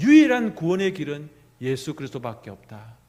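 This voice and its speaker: A man's high pitch moves through very wide pitch swings. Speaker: pastor. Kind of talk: sermon.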